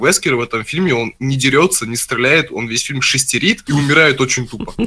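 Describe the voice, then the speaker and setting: Fairly quick speech from a man with a bright, sharp tone at a medium pitch. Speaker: gaming podcast co-host. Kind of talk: casual chat. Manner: animated.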